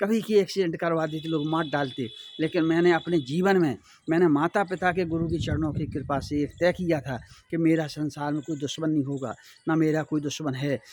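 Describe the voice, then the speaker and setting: At a moderate pace, a man with a fairly high pitch and ordinary pitch variation speaks in an unremarkable speaking voice. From India, Bundelkhand (Chhatarpur, Madhya Pradesh). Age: 60s. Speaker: spiritual social motivational speaker. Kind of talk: moral talk to viewers.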